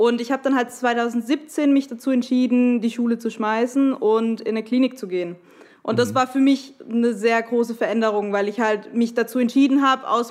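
A woman with a plain, everyday voice speaks at a fairly high pitch and a moderate pace with fairly even intonation. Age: 20s. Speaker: podcast guest, listener. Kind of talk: personal testimony.

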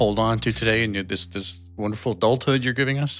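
In a very clean recording with a silent background, a man with a General American accent and an ordinary speaking voice talks at a fairly quick pace and medium pitch with ordinary pitch variation. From US Midwest. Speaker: podcast co-host. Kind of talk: casual chat.

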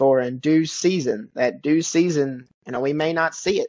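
Speaking at a moderate pace, a man with a Southern US accent has a fairly high pitch. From western Kentucky. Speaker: preacher. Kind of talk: casual Bible study discussion.

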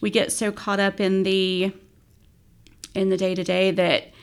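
With an Appalachian accent, a woman speaks at a fairly slow pace with fairly even intonation. The recording is very clean, with a silent background. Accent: Appalachian American. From West Virginia. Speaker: nonprofit executive director. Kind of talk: podcast interview.

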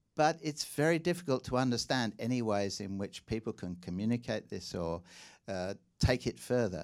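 A man's medium-pitched voice at a moderate pace, lively intonation, very clean recording with a silent background. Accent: slight English. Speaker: journalist and China commentator. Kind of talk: public lecture and Q&A. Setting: stage with audience.

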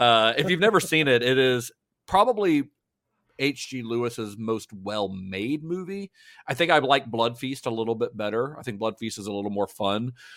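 A plain, everyday voice carries lively intonation. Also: man, medium pitch for a man, moderate pace. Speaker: film historian and podcast co-host. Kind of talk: casual podcast discussion. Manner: laughs often, chatty.

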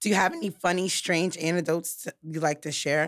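A woman with an American accent speaks in a normal speaking voice, fairly low in pitch, at a fairly quick pace with fairly even intonation, in a very clean recording with a silent background. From New York. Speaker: podcast host. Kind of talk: interview.

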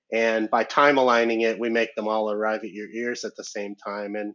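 Moving at a moderate pace, a plain, everyday voice speaks in an American accent. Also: man. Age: 50s. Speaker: cinema audio professional. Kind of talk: casual chat. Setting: video call.

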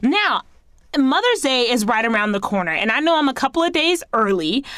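Speaking at a moderate pace with an American accent, a woman sounds animated, her pitch swinging very widely. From US, Haitian American family. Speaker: podcast host. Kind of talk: casual monologue.

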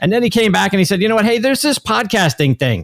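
An enthusiastic, animated voice with an American accent and vocal fry races along at a very fast pace. The recording is very clean, with a silent background and a dry, close sound with no echo. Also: man. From Pittsburgh, US. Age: 50s. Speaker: golf podcaster and sports broadcaster. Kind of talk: radio interview. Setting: radio show interview.

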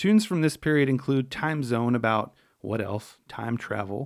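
A man with an American accent speaks at a moderate pace at a medium pitch with ordinary pitch variation. His is an unremarkable speaking voice. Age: 40s. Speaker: podcast host, musician. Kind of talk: scripted narration.

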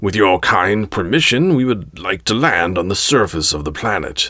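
A man does a put-on character voice with low pitch and a bright, sharp tone. His intonation is lively at a moderate pace, in a very clean recording with a silent background.

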